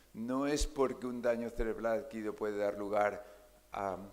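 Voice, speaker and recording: Audible room echo surrounds a man talking at a moderate pace with fairly even intonation. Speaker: neurologist, keynote speaker. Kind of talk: conference keynote lecture. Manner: hesitant, many fillers.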